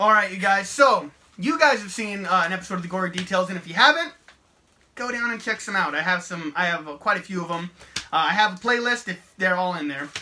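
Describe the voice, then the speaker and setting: A man's raised, projected voice, high in pitch, with ordinary pitch variation, a very fast pace and big swings in loudness. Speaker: horror YouTuber. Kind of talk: casual chat. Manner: stuttering at times.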